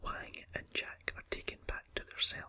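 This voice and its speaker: In a whisper, a man speaks with a Scottish accent. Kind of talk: ASMR film review. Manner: whispered.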